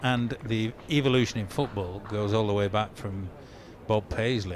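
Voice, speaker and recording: A man talks with a Lancashire accent at a moderate pace and fairly even intonation. Noticeable background noise sits behind him. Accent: Lancastrian. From northern England, Lancaster. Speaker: club doctor. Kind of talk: casual chat.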